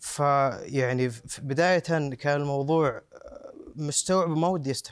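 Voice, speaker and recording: A man talks fairly slowly, his fairly high pitch held in fairly even intonation. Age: 30s. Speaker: son of a terror victim. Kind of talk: interview testimony. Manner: halting with repetitions.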